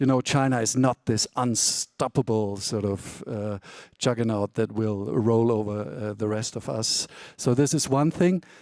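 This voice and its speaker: Fairly slow speech with a German accent, ordinary pitch variation, and a dry, close sound with no echo. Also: man, medium pitch for a man. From Germany. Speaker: author and China expert. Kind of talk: panel discussion. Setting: conference stage. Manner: hesitant with many fillers.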